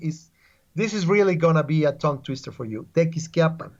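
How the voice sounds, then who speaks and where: A fairly high-pitched male voice with a Spanish accent and ordinary pitch variation. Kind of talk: casual interview. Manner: halting, repetitive; lively.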